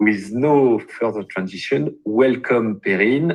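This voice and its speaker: Speaking with a French accent, a man talks at a medium pitch. His pace is fairly slow. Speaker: webinar host. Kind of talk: webinar introduction.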